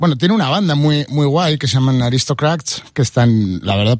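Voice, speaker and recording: A man is speaking. His intonation is lively. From Spain, Madrid. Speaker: rock guitarist. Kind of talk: casual chat. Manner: halting, repeats words.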